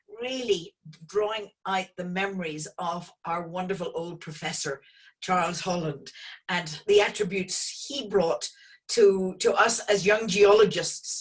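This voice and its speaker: Speaking with an Irish accent, a woman keeps to a fairly slow pace. Her medium pitch shows ordinary variation. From Northern Ireland, Belfast. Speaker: geologist and oil company founder. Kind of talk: online lecture interview.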